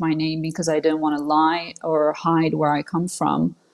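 This woman's pitch is very deep and low. She speaks at a moderate pace in a monotone, flat intonation. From Switzerland. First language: French. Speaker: political commentator. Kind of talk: interview. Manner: hesitant, many fillers.

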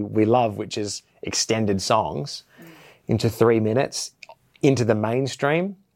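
A very clean recording with a silent background carries speech with ordinary pitch variation. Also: man. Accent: Australian. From Perth, Western Australia. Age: 30s. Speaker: metal band bassist. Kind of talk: interview monologue, casual. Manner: halting, many fillers and repetitions.

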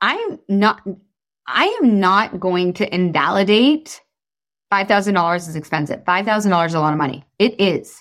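A woman's animated, medium-pitched voice with lively intonation at a moderate pace, over a quiet background. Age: 30s. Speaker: life and weight loss coach. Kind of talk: casual chat; sales pitch.

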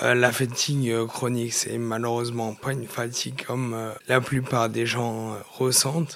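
Speaking at a very slow pace, a man keeps a monotone, flat intonation. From France, Nord-Isère near Lyon. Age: 20s. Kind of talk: interview testimony. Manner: halting, repeats words.

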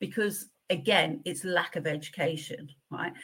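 A woman with an English accent and lively intonation. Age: 50s. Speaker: pharmaceutical company manager. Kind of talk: interview.

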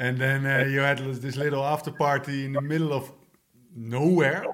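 Fairly even in intonation, a man speaks at a medium pitch and a moderate pace with a fairly bright tone.

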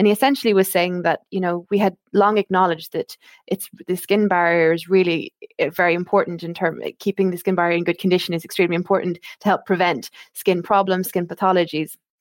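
Talking at a very fast pace, a woman with an Irish accent keeps a medium pitch and fairly even intonation in a dry, close sound with no echo. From Ireland. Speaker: skincare brand medical marketing manager. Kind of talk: casual interview chat. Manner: many filler words and restarts.

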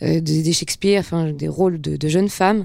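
A woman's fairly low voice at a moderate pace. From Geneva, Switzerland. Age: 20s. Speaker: actress. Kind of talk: interview.

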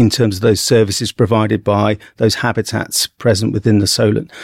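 The speaker has a southern English accent and a moderate pace. The sound is dry and close, with no echo. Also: man. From central England (Bedford). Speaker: marine zoology professor. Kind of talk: interview.

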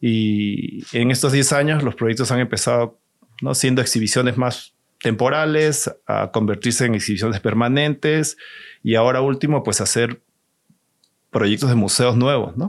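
An ordinary speaking voice at a fairly slow pace, very even in loudness, with ordinary pitch variation and a quiet background. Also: man, medium pitch for a man. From Peru, Lima. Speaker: exhibition designer. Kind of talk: casual interview.

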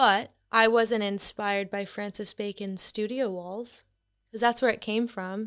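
In a very clean recording with a silent background, a woman with a fairly high voice speaks at a fairly slow pace with monotone, flat intonation. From Boston, US. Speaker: art influencer. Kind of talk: casual interview chat.

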